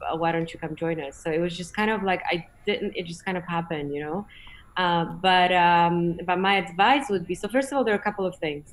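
This is a woman with a Polish accent. Her pitch is fairly low. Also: ordinary pitch variation. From Poland, small mountain town in the Tatras; Poland. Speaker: space industry executive; guest. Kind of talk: online conference presentation and Q&A. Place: home room. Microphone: video call.

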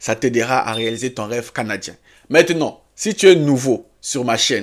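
With an animated tone and ordinary pitch variation, a man speaks at a fairly slow pace against a quiet background. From Africa. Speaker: YouTube career advice creator. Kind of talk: tutorial. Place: home room.

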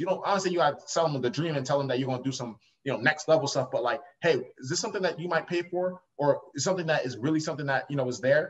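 The speaker talks at a very fast pace with an American accent and ordinary pitch variation. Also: man. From Long Island, New York; New York. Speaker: entrepreneur; podcast guest. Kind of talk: interview. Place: home room. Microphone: webcam.

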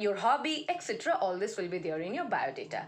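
A woman with a fairly high pitch speaks with very wide swings in her pitch. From India, West Bengal. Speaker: college English teacher. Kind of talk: lecture. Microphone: phone near.

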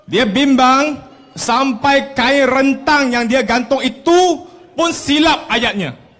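A man talks at an extremely high pitch. His pace is very slow. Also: ordinary pitch variation, very even loudness. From Malaysia. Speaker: politician. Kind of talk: campaign rally speech. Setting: outdoor stage with audience. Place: street.

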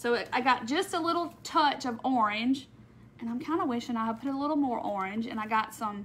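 A high-pitched woman with a Southern US accent at a moderate pace, with ordinary pitch variation and light background noise. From Mississippi. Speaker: crafter; craft live streamer. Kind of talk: live craft tutorial. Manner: casual. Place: home room. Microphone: phone near.

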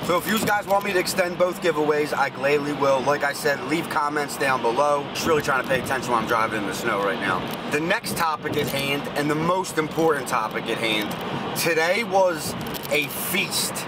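Loud background noise surrounds a man talking at a fairly quick pace, with a dry sound and no echo. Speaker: sneaker vlogger. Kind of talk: casual vlog chat. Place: car. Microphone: phone near.

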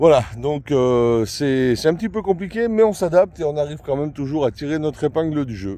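A man speaks at a moderate pace with hardly any pauses, his fairly high voice dark and mellow in tone. The intonation is lively, and the sound is dry with no echo. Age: 50s. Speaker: mushroom-hunting YouTuber; foraging channel vlogger. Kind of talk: casual channel introduction vlog; casual vlog chat. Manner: hesitant, many fillers. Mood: friendly, relaxed. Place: forest. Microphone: phone near.

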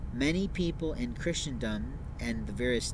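A man talks at a moderate pace. The sound is dry with no echo, but noticeable background noise is present. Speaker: speaker. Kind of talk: monologue to camera. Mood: earnest, somewhat aggrieved. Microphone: phone near.

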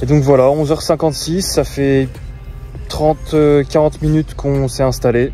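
A man talks over faint background music. The sound is dry, with no echo. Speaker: fishing vlogger. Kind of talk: casual vlog chat. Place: waterside. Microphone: phone near.

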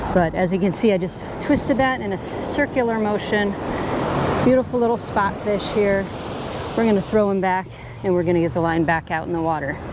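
Fairly quick speech from a woman, with background noise clearly present. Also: dry sound with no echo. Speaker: fishing video host. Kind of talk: tutorial. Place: beach. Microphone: lapel.

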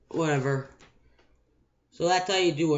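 Against a quiet background, a man speaks in a high pitch with fairly even intonation. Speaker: gamer making tutorial. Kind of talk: screen-recorded video game tutorial. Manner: casual, unscripted. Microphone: webcam.

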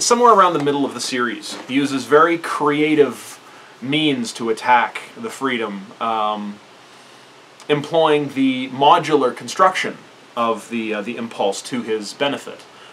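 A man speaks with lively intonation at a moderate pace, with light background noise behind him. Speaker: hobby reviewer. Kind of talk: casual vlog commentary. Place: home room. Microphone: camera far.

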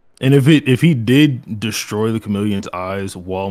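At a moderate pace, a man with a plain, everyday voice speaks at a fairly low pitch with ordinary pitch variation. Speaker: anime debater. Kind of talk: timed debate argument.

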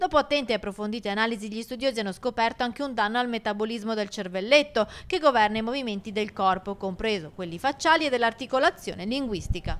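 At a very fast pace with hardly any pauses, a woman speaks at a fairly high pitch with lively intonation in a very clean recording with a silent background. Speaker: TV news reporter. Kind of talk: TV news report narration.

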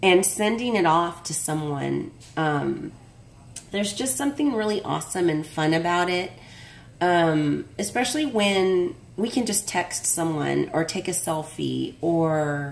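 Using an ordinary speaking voice, a woman talks with lively intonation at a fairly low pitch. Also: fairly slow pace. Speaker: craft vlogger opening mail. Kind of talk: casual vlog chat. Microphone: phone near.

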